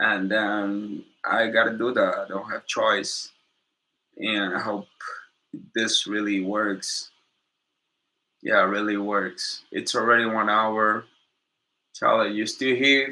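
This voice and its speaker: Very slowly, a man with a non-native accent speaks at a fairly low pitch in a monotone, flat intonation. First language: Portuguese. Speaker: YouTuber and businessman. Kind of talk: livestream Q&A monologue. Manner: casual, halting.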